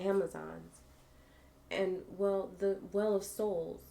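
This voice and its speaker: Noticeable background noise sits behind a woman with a medium pitch. She is soft-spoken, with a calm tone. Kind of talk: reading a fantasy story aloud with different character voices. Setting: live stream with ASMR microphone. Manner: calm, soft-spoken.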